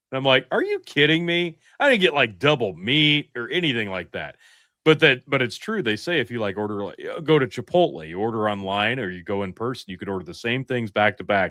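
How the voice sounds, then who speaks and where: With a Midwestern US accent, a man speaks at a fairly quick pace in an animated tone, his medium pitch swinging very widely and his loudness shifting a great deal. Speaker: podcast co-host. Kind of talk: casual chat.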